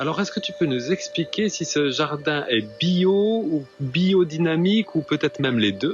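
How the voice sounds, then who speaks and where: With music in the background, a man speaks at a high pitch and a fairly slow pace, leaving hardly any pauses. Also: lively intonation. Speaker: video host. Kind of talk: casual talk to camera.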